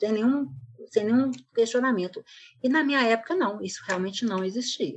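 A woman speaks at a moderate pace with lively intonation and a fairly high pitch. Her pauses are long and frequent. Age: 60s. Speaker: guest, mother of the co-host. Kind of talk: casual chat.

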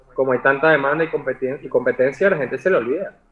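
Over noticeable background noise, a man talks fairly quickly with a fairly high pitch and fairly even intonation. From Venezuela (Maracay). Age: 30s. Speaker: digital artist. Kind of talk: casual chat.

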